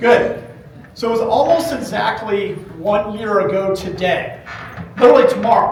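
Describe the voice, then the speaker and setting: A man talks at a moderate pace in an animated tone, leaving long, frequent pauses. Audible room echo and noticeable background noise fill the recording. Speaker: running store owner presenting at a trade event. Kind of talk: conference presentation. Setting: stage with live audience, using a microphone. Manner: loud.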